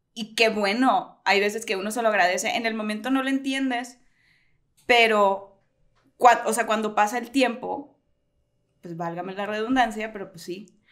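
In a quiet background, a woman with a fairly high pitch speaks at a moderate pace, with ordinary pitch variation, big swings in loudness and long, frequent pauses. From Sonora, Mexico (Hermosillo); Sonora, Mexico. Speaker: writer; podcast co-host. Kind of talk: casual chat. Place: home room. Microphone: studio mic.

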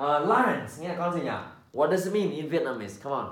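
There is audible room echo as a man talks in a fairly high pitch with vocal fry. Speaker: English teacher. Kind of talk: English lesson for children. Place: home room.

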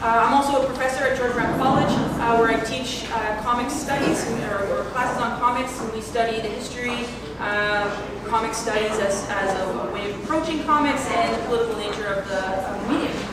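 Amid loud background noise and audible room echo, a woman speaks at a fairly quick pace. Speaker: panel moderator. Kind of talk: panel introduction. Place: hall. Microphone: camera far.

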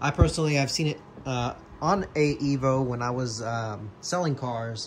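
A somewhat breathy voice with ordinary pitch variation over light background noise. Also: man. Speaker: car vlogger. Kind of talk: casual vlog chat. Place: garage. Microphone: phone near.

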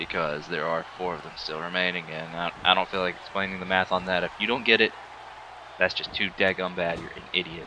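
A man speaks at a fairly quick pace with a very deep, low pitch and big swings in loudness. Background noise is noticeable. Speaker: gaming YouTuber. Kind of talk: gameplay commentary. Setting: home recording alone. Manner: casual, animated at moments.

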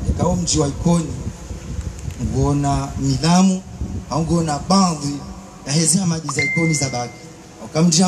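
Noticeable background noise sits under the voice. The speech moves at a moderate pace with ordinary pitch variation. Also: man. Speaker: speaker. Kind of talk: ceremonial speech. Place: open country. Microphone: handheld.

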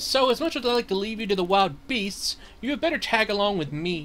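Using a put-on character voice, a man speaks high-pitched and fairly quickly with lively intonation over clear background noise. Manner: bossy, sarcastic.

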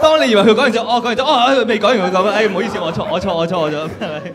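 Over faint background noise and faint crowd noise in the background, a man talks at a very fast pace, high in pitch, with a fairly bright tone and ordinary pitch variation.

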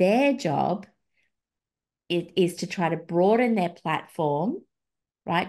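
A woman's fairly low voice with lively intonation, an Australian accent, and a quiet background. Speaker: podcast host, feminist researcher and blogger; podcast host, blogger. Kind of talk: casual chat. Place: home room. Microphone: video call.

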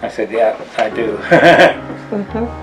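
A man speaks while music plays clearly in the background. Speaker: fitness instructor and health coach. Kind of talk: interview answer. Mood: warm, relaxed storytelling. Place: kitchen. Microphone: webcam.

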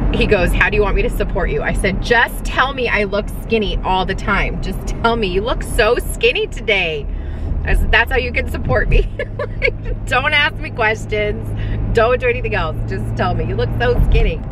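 A woman at a moderate pace, dry sound with no echo, noticeable background noise. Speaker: vlogger. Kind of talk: casual vlog chat. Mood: chatty, laughing, candid. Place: car. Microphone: phone near.

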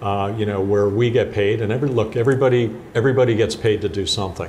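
In an unremarkable speaking voice, a man talks at a fairly quick pace with fairly even intonation over light background noise. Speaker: guest. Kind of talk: interview answer. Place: studio.

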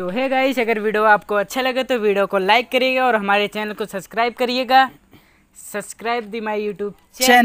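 A woman talks at a moderate pace with fairly even intonation, in a dry sound with no echo. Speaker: channel host. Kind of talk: casual vlog outro. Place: open country.

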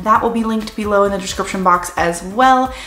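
The speech comes at a fairly quick pace with ordinary pitch variation and audible room echo. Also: woman. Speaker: product reviewer. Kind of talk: casual vlog chat. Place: home room.

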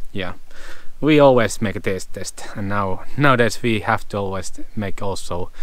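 Here a man speaks at a fairly low pitch and a moderate pace. His pitch varies in an ordinary way, and the sound is dry with no echo. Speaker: travel vlogger. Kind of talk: casual vlog chat. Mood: relaxed, cheerful. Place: forest. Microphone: phone near.

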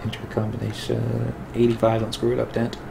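A man's medium-pitched voice with vocal fry, fairly quick and monotone, flat in intonation, amid clear background noise and audible room echo

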